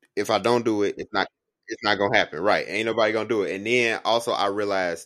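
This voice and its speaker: Talking at a fairly quick pace, a man with a fairly low pitch comes through in a very clean recording with a silent background. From Chicago. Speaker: podcast co-host, student. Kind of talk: casual chat.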